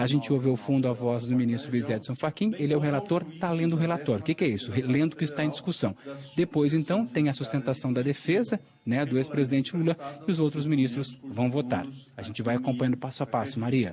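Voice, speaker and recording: Holding a very even loudness, a man with a fairly high pitch talks very fast with ordinary pitch variation. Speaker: TV news reporter. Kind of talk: live news report. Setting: inside court building during a trial. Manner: speaking quietly.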